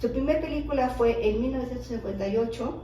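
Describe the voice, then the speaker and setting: A woman speaks in a Mexico City accent. Noticeable background noise and audible room echo surround her voice. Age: 60s. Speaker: widow of a filmmaker, interviewee. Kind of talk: interview.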